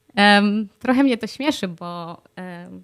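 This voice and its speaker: Very clean recording of a woman, background silent. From Poland. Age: 30s. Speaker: vlogger. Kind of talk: video diary monologue. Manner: frequent fillers.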